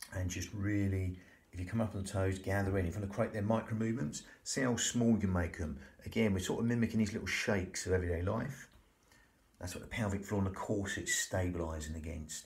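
This man has a fairly low, somewhat breathy voice with ordinary pitch variation. He speaks at a very fast pace. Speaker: breathing instructor. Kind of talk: tutorial. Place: home room. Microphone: phone near.

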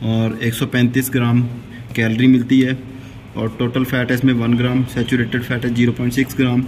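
Over light background noise, a man talks at a fairly slow pace in a monotone, flat intonation. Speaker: fitness vlogger. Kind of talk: casual vlog chat, unboxing. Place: gym. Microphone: phone near.

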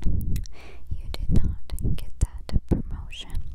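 Whispering, a woman speaks in a soothing tone. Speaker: ASMR creator. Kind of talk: ASMR positive affirmations. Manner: whispered; slow, soothing, repetitive. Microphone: lapel.

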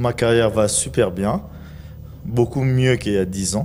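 A man speaks with ordinary pitch variation. Light background noise sits under his voice. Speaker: film and TV actor; TV actor. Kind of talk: TV talk show; interview answer. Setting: TV studio. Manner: animated. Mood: relaxed, smiling. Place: studio. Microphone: handheld.

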